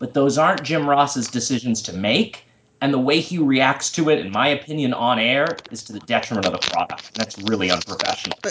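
Lively intonation from a man at medium pitch, over noticeable background noise. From US Northeast (Massachusetts). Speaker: wrestling fan podcast guest. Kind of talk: casual chat.

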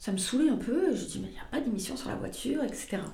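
A woman talks at a very fast pace, her pitch swinging very widely. Audible room echo and noticeable background noise fill the recording. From southwestern France, Pau. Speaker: motoring journalist. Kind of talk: casual chat.

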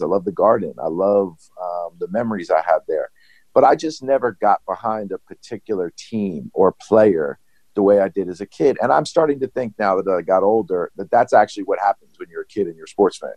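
This man talks at a fairly quick pace with an American accent. The sound is dry and close, with no echo. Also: big swings in loudness. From New York. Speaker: sports business manager. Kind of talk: interview.

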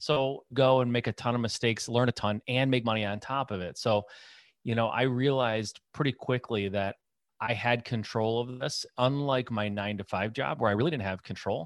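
A man with an American accent has a plain, everyday voice, medium pitch and fairly even intonation at a moderate pace. The sound is dry and close with no echo, over a quiet background. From Michigan, US. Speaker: real estate investor. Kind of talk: interview.

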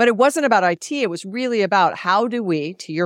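A woman with an ordinary speaking voice talks at a fairly quick pace with lively intonation. The recording is very clean and dry, close with no echo, over a silent background. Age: 50s. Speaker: business author and keynote speaker. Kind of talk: interview.

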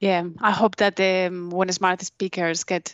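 At a moderate pace, a woman with a non-native accent speaks in a fairly low pitch against a quiet background. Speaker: podcast co-host. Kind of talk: scripted intro; interview.

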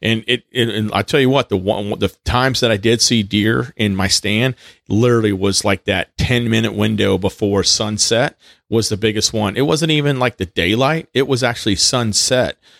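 A plain, everyday voice with an American accent, very even loudness, and a dry, close sound with no echo comes through on a very clean recording with a silent background. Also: man, medium pitch for a man, ordinary pitch variation, moderate pace. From Texas. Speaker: podcast host, hunter and off-roader, Marine veteran. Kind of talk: solo podcast monologue; casual chat.

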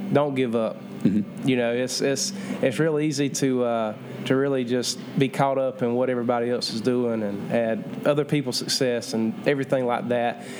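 At a moderate pace, a man talks in a Southern US accent at a medium pitch. His pitch variation is ordinary, and noticeable background noise can be heard. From Georgia, US. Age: 20s. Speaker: country singer. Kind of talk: interview.

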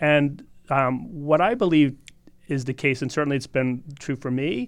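A man with an unremarkable speaking voice and an American accent, medium pitch, ordinary pitch variation, a moderate pace and a quiet background. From US Northeast (Boston area). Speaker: naturopathic doctor and supplement formulator. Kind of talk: podcast interview. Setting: studio.

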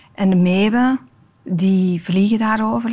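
A woman speaks with an ordinary speaking voice and ordinary pitch variation. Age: 50s. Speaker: tv maker and storyteller. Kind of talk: interview conversation.

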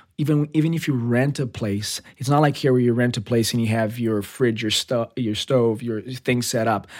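Male voice of medium pitch at a moderate pace, with hardly any pauses, fairly even intonation, and a Portuguese accent, in a very clean recording against a silent background. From Brazil, São Paulo. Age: 30s. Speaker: TV director. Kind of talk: casual interview chat.

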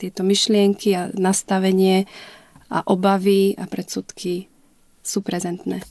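A woman with a medium pitch and a dark, mellow tone speaks at a fairly slow pace in a monotone, flat way, with a dry, close sound and no echo. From Slovakia, Liptov region. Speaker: mother of a child with Down syndrome, inclusion advocate. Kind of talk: interview. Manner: hesitant, many fillers.

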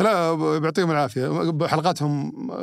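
On a very clean recording with a silent background, a man with an unremarkable speaking voice talks at a fairly slow pace with lively intonation. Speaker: podcast host. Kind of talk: casual chat. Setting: studio.

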